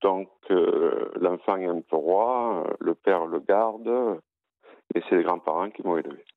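This man speaks at a fairly low pitch. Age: 50s. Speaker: caller, former prisoner running a book charity. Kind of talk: radio call-in testimony. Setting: phone call. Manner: halting, many repetitions.

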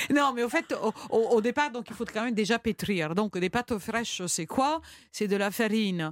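A woman talks with an Italian accent. The sound is dry and close, with no echo. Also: lively intonation, moderate pace. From Italy. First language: Italian (speaking French). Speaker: chef and cookbook author. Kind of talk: radio interview.

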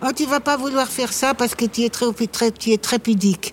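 A woman's high voice proceeds at a moderate pace. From Paris. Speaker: actress. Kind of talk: casual chat. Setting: outdoors.

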